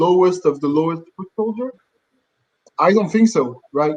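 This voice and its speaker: A man's high-pitched voice with a French accent, ordinary pitch variation and a moderate pace. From France. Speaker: conflict analyst. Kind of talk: live-stream discussion. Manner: halting, many fillers.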